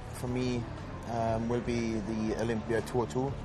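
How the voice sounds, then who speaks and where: A man's medium-pitched voice at a very slow pace with fairly even intonation, amid noticeable background noise and audible room echo. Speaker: professional bodybuilder. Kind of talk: interview reflection. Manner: less perky than usual.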